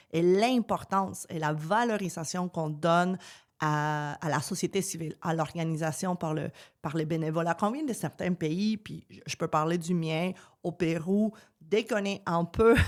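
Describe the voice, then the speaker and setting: Fairly low in pitch, a woman talks at a fairly slow pace with ordinary pitch variation. Her recording is very clean, with a silent background. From Peru. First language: Spanish (speaking French). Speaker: politician. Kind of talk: podcast interview. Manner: many hesitations (euh).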